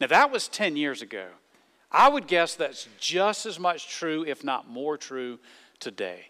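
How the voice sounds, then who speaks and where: On a very clean recording with a silent background, a man speaks with a Southern US accent at a fairly slow pace. His fairly high voice has a bright, sharp tone and very wide pitch swings. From US South. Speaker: pastor. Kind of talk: sermon. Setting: church.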